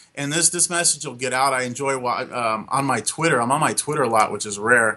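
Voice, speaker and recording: A man talks in an ordinary speaking voice at a medium pitch. His pitch variation is ordinary. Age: 30s. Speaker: SEO consultant. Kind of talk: interview.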